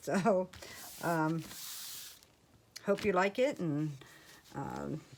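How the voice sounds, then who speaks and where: At a very slow pace, a woman with a Midwestern American accent speaks in a fairly low pitch with ordinary pitch variation. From US Midwest, Ohio. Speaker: crafting YouTuber. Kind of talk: casual haul video talk. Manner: casual, hesitant with fillers.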